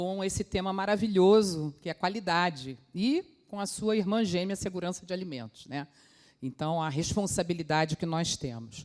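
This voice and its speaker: This woman has an ordinary speaking voice. Her pitch is medium, and her intonation is lively. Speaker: food safety quality manager. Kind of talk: conference talk.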